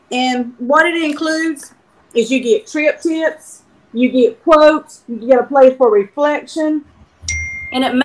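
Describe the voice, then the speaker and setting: A woman's voice with ordinary pitch variation. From South Carolina, US. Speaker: author and show sponsor. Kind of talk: promotional announcement.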